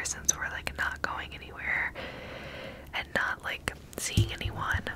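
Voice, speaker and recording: A woman whispers at a fairly slow pace. Noticeable background noise can be heard. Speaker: ASMR creator. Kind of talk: casual whispered ASMR chat. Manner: close-mic ASMR whisper, rambling. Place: home room. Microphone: studio mic.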